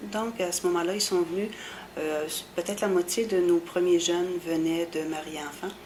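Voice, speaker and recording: A woman's fairly even intonation with noticeable background noise. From Quebec, Bas-Saint-Laurent. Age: 50s. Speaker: special education worker. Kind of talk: oral history interview. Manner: hesitant, many fillers.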